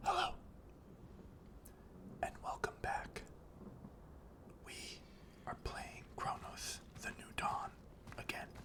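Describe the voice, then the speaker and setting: Whispering at a very slow pace, the speaker keeps a calm tone and leaves long, frequent pauses. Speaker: ASMR gaming creator. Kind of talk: casual gameplay commentary. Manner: calm, soft-spoken.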